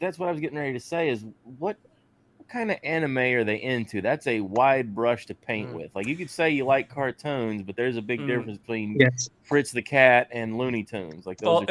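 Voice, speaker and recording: A man with a rural Southern US accent speaks at a medium pitch with lively intonation. The sound is dry and close, with no echo. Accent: American Southern, rural drawl. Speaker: podcast co-host.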